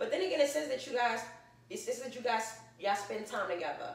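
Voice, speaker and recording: A woman with a New York accent talks with lively intonation. Audible room echo and noticeable background noise are present. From New York, Brooklyn. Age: 30s. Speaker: vlogger. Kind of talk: casual Q&A vlog.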